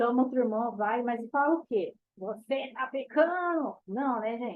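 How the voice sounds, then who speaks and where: A high-pitched woman's voice at a fairly slow pace, with ordinary pitch variation. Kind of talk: bible study talk. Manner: animated.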